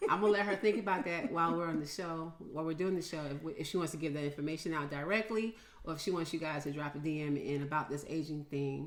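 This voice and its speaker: A woman at a very deep, low pitch with ordinary pitch variation, talking at a very fast pace with hardly any pauses, amid audible room echo and noticeable background noise. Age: 60s. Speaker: podcast host. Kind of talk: casual interview.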